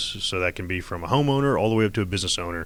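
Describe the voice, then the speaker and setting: This recording features a man talking. The rise and fall of his pitch is ordinary. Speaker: security company owner. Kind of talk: radio interview. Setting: radio studio.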